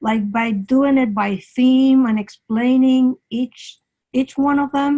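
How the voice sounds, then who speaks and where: A woman with a non-native accent speaks very slowly at a high pitch in a dark, mellow tone, with fairly even intonation and very even loudness, the sound dry and close with no echo. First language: not English. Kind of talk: casual chat. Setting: video call.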